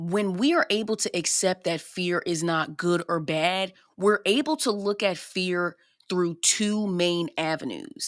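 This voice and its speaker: On a very clean recording with a silent background, a woman with an animated, upbeat tone talks at a fairly slow pace and medium pitch with ordinary pitch variation. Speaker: podcast host. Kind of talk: solo podcast monologue, self-improvement talk. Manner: animated, chatty, upbeat.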